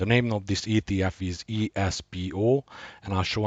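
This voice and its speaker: Fairly even intonation marks this voice with a Hungarian accent. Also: man. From Hungary, Budapest. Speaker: gaming and investing youtuber. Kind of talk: scripted introduction; unscripted screen walkthrough. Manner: hesitant, many uh fillers.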